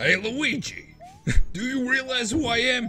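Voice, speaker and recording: A man puts on a character voice in an Italian accent, pitched extremely high. He speaks at a moderate pace. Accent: cartoonish Italian-style. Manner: boastful, demanding.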